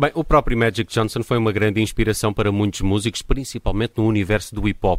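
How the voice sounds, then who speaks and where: Captured in a dry, close sound with no echo, the man's voice shows ordinary pitch variation on a very clean recording against a silent background. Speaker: radio host. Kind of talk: casual chat.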